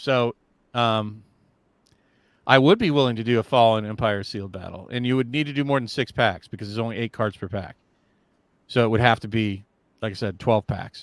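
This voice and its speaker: A man with an American accent at a medium pitch, fairly quick speech broken by long, frequent pauses, fairly even intonation, and a dry, close sound with no echo in a very clean recording with a silent background. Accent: slight Southern accent, comes out at times. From US South (Virginia). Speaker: podcast co-host. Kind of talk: casual chat. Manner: halting, many false starts and repeats.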